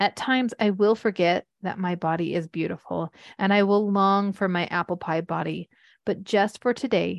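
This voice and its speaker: In a dry, close recording with no echo and a quiet background, a woman with an ordinary speaking voice talks at medium pitch, a moderate pace and ordinary pitch variation. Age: 40s. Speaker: podcast host and mothers' coach. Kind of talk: personal monologue.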